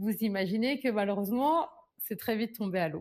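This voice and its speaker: A woman's unremarkable speaking voice, moderate in pace and ordinary in pitch variation. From France and Ivory Coast. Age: 20s. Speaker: beauty entrepreneur and YouTuber. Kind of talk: personal storytelling vlog. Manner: casual, conversational.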